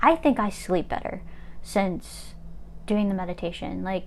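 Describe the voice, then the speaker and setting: Fairly quick speech from a woman at a medium pitch. It is a normal speaking voice. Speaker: chronic illness vlogger. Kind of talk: casual livestream monologue. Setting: Instagram live stream.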